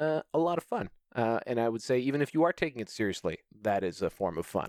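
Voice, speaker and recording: With very wide pitch swings and a fairly quick pace, a man is heard in a very clean recording with a silent background and a dry, close sound with no echo. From Canada. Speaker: competitive tabletop wargamer. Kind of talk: casual chat.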